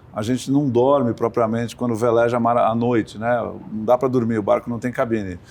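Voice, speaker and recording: Speaking at a fairly quick pace, a man delivers his words in a flat monotone. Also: medium pitch for a man, quiet background. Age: 60s. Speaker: sailor and sports entrepreneur. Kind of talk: interview.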